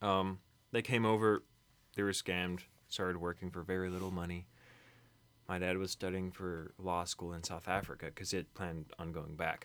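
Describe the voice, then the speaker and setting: In a very clean recording with a silent background, a man with an American accent speaks at a moderate pace in a very deep, low pitch and a monotone, flat intonation. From Kentucky, US. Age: young. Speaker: college student. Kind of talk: casual chat.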